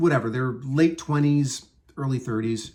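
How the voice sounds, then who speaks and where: A man speaks in a somewhat breathy voice at medium pitch. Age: 60s. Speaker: entertainment industry worker. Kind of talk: casual talk to camera. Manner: hesitant, rambling.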